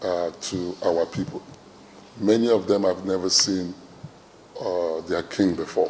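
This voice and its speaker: At a fairly slow pace, a man with a very deep, low pitch speaks in fairly even intonation, leaving long, frequent pauses. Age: 60s. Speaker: traditional ruler. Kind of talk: interview speech. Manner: hesitant, many fillers.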